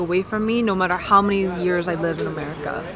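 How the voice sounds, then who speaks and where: A woman speaks at a medium pitch with fairly even intonation. Noticeable background noise can be heard. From South Korea. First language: Korean. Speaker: politician. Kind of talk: interview; speech.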